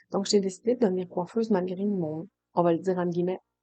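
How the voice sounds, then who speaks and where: At a fairly quick pace, a woman talks in a dark, mellow tone. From Quebec, Saguenay-Lac-Saint-Jean. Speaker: hairdresser and coach, podcast host. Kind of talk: personal podcast monologue. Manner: casual, hesitant with fillers and repetitions.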